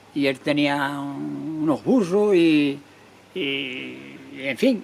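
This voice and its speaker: Noticeable background noise runs under this recording. A man speaks over it with lively intonation. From Andalusia, Spain (Cádiz province, Jerez). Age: 80s+. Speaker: retired bullfighter. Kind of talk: interview. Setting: restaurant.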